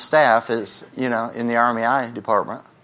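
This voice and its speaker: A man talks against noticeable background noise. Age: 70s. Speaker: pastor. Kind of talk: sermon. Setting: church. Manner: animated.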